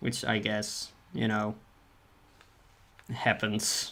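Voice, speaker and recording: Soft-spoken and mumbling, a man with a non-native accent talks at a very slow pace and a medium pitch. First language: not English. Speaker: streamer and artist. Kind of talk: casual livestream chat while drawing. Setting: livestream. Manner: mumbling, soft articulation; halting, repeats words.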